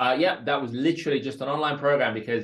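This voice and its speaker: A man with a London accent. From West London (Northolt), raised from age six. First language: Russian. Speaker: online entrepreneur. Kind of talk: podcast interview.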